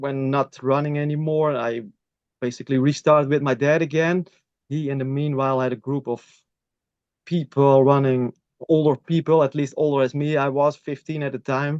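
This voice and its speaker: With a Dutch accent, a man at a fairly high pitch speaks at a moderate pace in monotone, flat intonation, the sound dry and close with no echo. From Netherlands. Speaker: masters athlete. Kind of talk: interview. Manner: halting.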